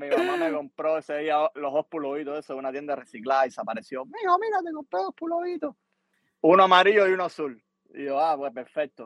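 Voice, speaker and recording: His speech comes out very fast. The audio is dry and close-miked, free of any echo, and the speaker is a man. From Cuba. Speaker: musician and producer. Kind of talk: casual interview.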